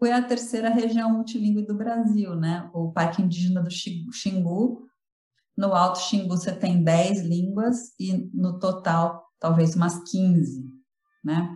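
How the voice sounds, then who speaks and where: The voice is somewhat breathy with a dark, mellow tone, moving at a very slow pace with ordinary pitch variation. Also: woman, medium pitch for a woman. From Brazil, São Paulo. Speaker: linguistics professor. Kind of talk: interview. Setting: remote call.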